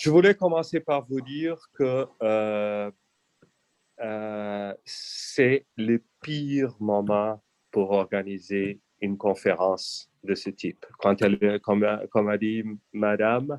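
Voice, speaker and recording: The sound here is dry and close, without echo. This man speaks at a very slow pace. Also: fairly low pitch for a man, ordinary pitch variation. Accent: non-native. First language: not French (speaking French). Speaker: EU official. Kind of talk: conference talk. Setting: video call. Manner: halting.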